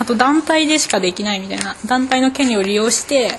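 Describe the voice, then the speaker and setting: A woman races along at a very fast pace with lively intonation as noticeable background noise fills the recording. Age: 20s. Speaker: architecture student. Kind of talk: interview.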